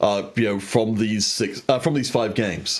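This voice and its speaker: This man has a British accent. He talks at a middling speed. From Britain. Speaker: esports caster. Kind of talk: post-match interview.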